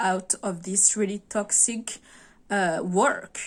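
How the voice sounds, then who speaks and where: In a French accent, a woman talks at a very slow pace with a medium pitch and monotone, flat intonation. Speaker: video blogger. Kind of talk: casual monologue to camera. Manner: halting, many fillers and restarts.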